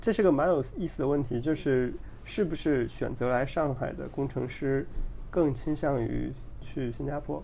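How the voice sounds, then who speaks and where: A man's fairly high-pitched, dark, mellow voice with vocal fry, ordinary pitch variation and a moderate pace, plus audible room echo. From China, Henan province. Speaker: podcast guest, engineer. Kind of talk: casual chat.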